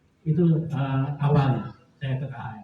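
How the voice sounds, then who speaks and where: A man's fairly high-pitched voice. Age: 60s. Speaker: patient giving testimony. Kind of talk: testimony. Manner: casual, animated.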